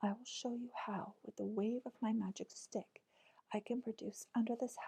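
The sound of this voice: A fairly level intonation from an unforced reading voice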